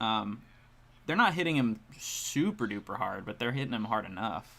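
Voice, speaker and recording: Quietly, a man speaks with a bright, sharp tone and lively intonation. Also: medium pitch for a man, moderate pace. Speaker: baseball streamer. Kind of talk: live watch-along commentary. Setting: live stream, headphones around head. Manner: mumbling at times.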